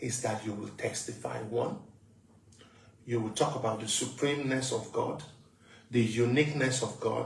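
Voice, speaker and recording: Vocal fry runs through a man's voice with fairly even intonation. The room echo is audible. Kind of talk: testimony.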